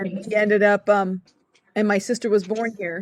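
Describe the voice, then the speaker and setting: A woman with an American accent, medium in pitch, at a fairly slow pace, in a dry, close sound with no echo. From United States (came from Korea at age four). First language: Korean. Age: 40s. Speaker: university staff member and event host. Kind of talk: panel discussion. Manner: halting, with many fillers and restarts.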